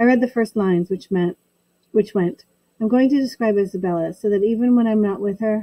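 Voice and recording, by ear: Natural-voiced reading aloud over a quiet background, pitch varying in an ordinary way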